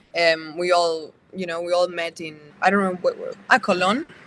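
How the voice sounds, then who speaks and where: Speaking with a Spanish accent, a woman talks at a moderate pace and medium pitch with ordinary pitch variation. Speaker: actress. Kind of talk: interview. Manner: halting.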